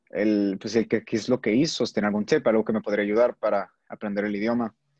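A man with a dark, mellow tone speaks at medium pitch and fairly even intonation. The sound is dry and close with no echo, against a quiet background. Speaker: student. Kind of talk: casual chat. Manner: halting.

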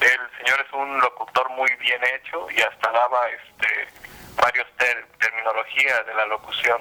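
A man speaks at a fairly slow pace in a medium pitch, his intonation flat and monotone. Noticeable background noise sits behind him. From Puerto Vallarta area, Mexico. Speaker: YouTube content creator, dubbing enthusiast. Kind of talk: radio interview.

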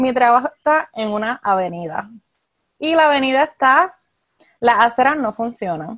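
With lively intonation and a high pitch, a woman talks at a moderate pace, broken by long, frequent pauses. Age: 20s. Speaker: clinical social worker. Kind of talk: interview.

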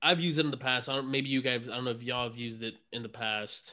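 The voice has a bright, sharp tone. Its intonation stays fairly even. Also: man. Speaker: podcast host, gym trainer. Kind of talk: casual chat.

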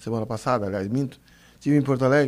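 The man talks with lively intonation. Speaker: guest, carnival fan and former radio worker. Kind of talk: radio interview.

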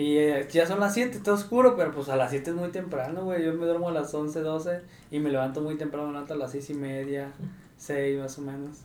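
There's audible room echo as a man delivers his words at a fairly quick pace. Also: fairly high pitch for a man, ordinary pitch variation. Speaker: podcast co-host. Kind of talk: casual chat.

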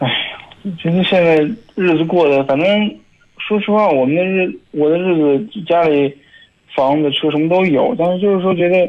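Speaking at a moderate pace with long, frequent pauses, a man has a high pitch, ordinary pitch variation and very even loudness. Noticeable background noise runs underneath. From Hebei, Shijiazhuang. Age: 20s. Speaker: caller. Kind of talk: phone-in conversation. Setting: phone call.

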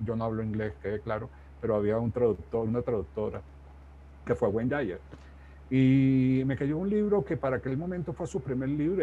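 A man's dark, mellow, somewhat breathy voice at medium pitch moves at a fairly quick pace with very wide pitch swings. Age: 60s. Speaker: life coach and author. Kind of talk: interview.

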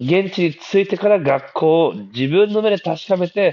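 A man speaks at a moderate pace. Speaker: podcast host. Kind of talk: casual monologue. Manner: hesitant, many fillers.

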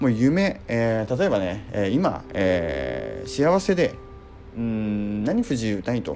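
A man's pitch swings very widely as he talks at a very slow pace, with noticeable background noise behind him. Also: fairly low pitch for a man. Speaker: company CEO and podcast host. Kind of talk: solo talk radio monologue. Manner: polite, filler-heavy (えー, まあ); impassioned.

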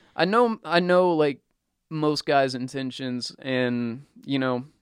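A man talks in an ordinary speaking voice, his pitch fairly high. His pitch variation is ordinary, and the background is quiet. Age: 20s. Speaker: podcast host. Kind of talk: casual chat.

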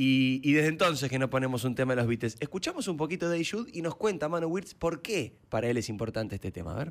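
A man speaks in a Rioplatense accent. His intonation is lively and his pace fairly quick. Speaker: radio host. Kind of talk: casual interview. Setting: radio studio. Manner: animated.

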